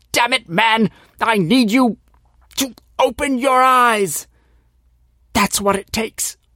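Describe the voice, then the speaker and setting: A man's put-on character voice at an extremely high pitch, intense in tone, at a fairly slow pace with long, frequent pauses. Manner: intense, urging.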